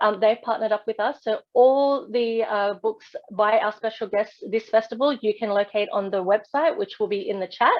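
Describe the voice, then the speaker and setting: A woman's fairly quick, fairly high voice with an Australian accent and ordinary pitch variation. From Australia, western Sydney. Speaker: festival host. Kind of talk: online event hosting. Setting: video call.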